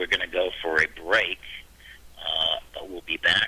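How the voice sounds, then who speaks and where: A man speaks over noticeable background noise. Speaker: radio show host. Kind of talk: radio show hosting. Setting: radio broadcast from a conference.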